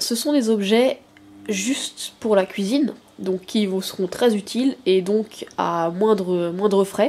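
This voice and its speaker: A woman speaks very slowly at a medium pitch. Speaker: product review youtuber. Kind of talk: unboxing haul video. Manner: casual with many hesitations.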